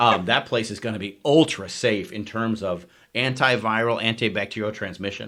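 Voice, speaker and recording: A man speaks loudly at a moderate pace, his medium-pitched voice bright and sharp. His tone is animated, with ordinary pitch variation. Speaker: chiropractor, clinic owner. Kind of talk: casual chat.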